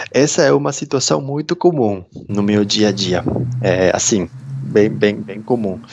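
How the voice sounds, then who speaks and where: Over noticeable background noise, a man with a Peruvian accent speaks at a fairly low pitch. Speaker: interview guest, immigrant. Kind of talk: casual interview. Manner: hesitant, many fillers.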